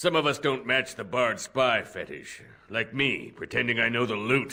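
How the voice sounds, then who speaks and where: A man puts on a raspy character voice at medium pitch. He keeps a moderate pace. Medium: video game. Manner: dry, sardonic.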